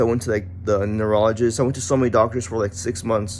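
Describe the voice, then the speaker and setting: Speaking at a very fast pace, a man uses ordinary pitch variation. Noticeable background noise runs underneath. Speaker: chronic illness vlogger, former MMA trainee. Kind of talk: personal testimony. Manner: slurred words, halting; sluggish, sounds barely awake.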